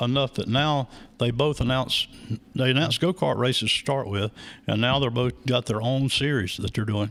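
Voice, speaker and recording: At a moderate pace, a man with an American accent speaks at a medium pitch with ordinary pitch variation. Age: 60s. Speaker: racing track announcer. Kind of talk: interview, casual chat. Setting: live radio and video broadcast.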